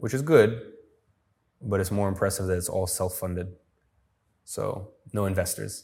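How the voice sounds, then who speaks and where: With long, frequent pauses, a man speaks in a fairly low, somewhat breathy voice with ordinary pitch variation. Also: moderate pace. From Dagestan, Russia. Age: 20s. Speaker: entrepreneur. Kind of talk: interview.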